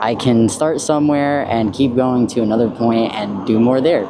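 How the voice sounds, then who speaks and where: A man with a mid-range pitch and ordinary pitch variation speaks at a moderate tempo while noticeable noise sounds behind him. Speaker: YouTube vlogger. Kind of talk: casual vlog. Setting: outdoors, riding a small motorbike. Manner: halting.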